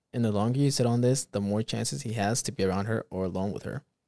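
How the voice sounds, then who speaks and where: Dry and close with no echo, a man speaks in a fairly low pitch with a dark, mellow tone. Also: very clean recording, silent background. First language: not English. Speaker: podcast host. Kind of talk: casual chat. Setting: studio.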